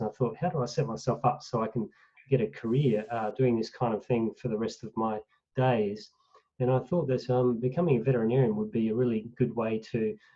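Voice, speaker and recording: A fairly quick pace with an Australian accent. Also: man. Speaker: professor of animal welfare, veterinarian. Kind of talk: online lecture presentation.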